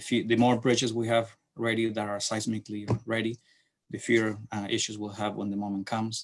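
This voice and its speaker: Speaking at a fairly quick pace, a man holds a medium pitch in a monotone, flat intonation. The recording is very clean with a silent background. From Chile. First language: Spanish. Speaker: city transportation planner. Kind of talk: lecture. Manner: halting.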